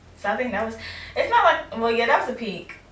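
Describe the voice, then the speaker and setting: A woman's fairly high voice shows ordinary pitch variation. Audible room echo and noticeable background noise surround it. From US South, Fort Pierce, Florida. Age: 20s. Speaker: podcast host. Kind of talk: casual interview. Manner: casual, filler-heavy.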